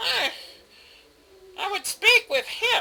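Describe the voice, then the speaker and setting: The speaker uses a put-on character voice pitched extremely high. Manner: cackling, sinister.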